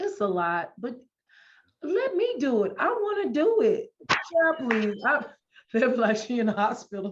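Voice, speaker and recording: The speaker takes a fairly slow pace. Their pitch rises and falls very widely. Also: woman, high pitch for a woman. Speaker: podcast host. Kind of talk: casual interview chat. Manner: animated.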